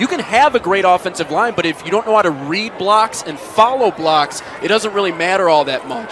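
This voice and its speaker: A man with a high pitch talks at a moderate pace over noticeable background noise. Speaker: football color commentator. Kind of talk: live football color commentary, analytical.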